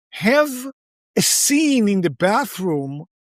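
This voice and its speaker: The speaker has an American accent, recorded with a dry, close sound and no echo. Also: man. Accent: foreign accent, noticeable when straining. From outside the US. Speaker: podcast host. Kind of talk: interview conversation.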